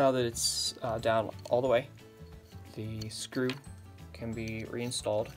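A man speaks at a fairly slow pace while clear music plays in the background. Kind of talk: tutorial. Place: workshop. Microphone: phone near.

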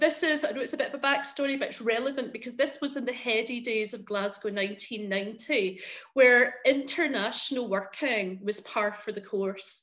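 In a west of Scotland accent, a woman speaks at a high pitch and moderate pace, with hardly any pauses, ordinary pitch variation and big swings in loudness. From Scotland, Paisley. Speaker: arts consultant. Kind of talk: webinar presentation.

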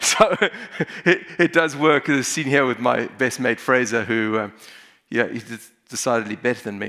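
Someone speaks with a South African accent in a bright, sharp tone. The pace is fairly slow, pitch variation is ordinary, and the background is quiet. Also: man, medium pitch for a man. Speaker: emergency physician; conference speaker. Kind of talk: conference talk. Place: hall. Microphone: headset.

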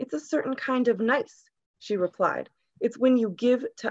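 Shaky and fairly high, a woman's voice moves at a moderate pace with ordinary pitch variation. The background is quiet. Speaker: poet. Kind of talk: poetry reading. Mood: calm, earnest, reflective. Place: home room. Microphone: video call.

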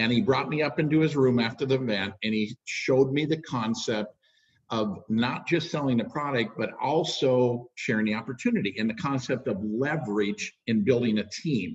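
A man's somewhat breathy voice at medium pitch, moderate pace and ordinary pitch variation, over a quiet background. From Minnesota, US. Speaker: network marketing leader. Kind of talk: interview. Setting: video call. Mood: warm, storytelling. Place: home room. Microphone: webcam.

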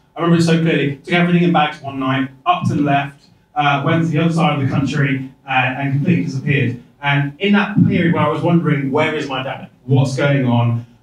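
A man speaks at a very fast pace in an English Midlands accent, his pitch fairly high. His intonation stays fairly even, and the room echo is audible. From English Midlands (Rugby, Warwickshire). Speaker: Paralympic cyclist, keynote speaker; keynote guest. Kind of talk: keynote speech. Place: hall.

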